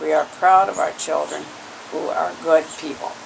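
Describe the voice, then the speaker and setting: A man at a fairly slow pace amid noticeable background noise. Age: 80s+. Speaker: grandmother. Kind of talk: family interview. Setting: at home, filmed on video.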